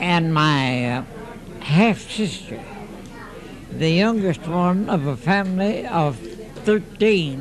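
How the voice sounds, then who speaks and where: With music in the background and audible room echo, a man with an American accent talks at a high pitch and a very slow pace, leaving long, frequent pauses. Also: lively intonation. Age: 80s+. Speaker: centenarian. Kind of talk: casual interview. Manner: halting.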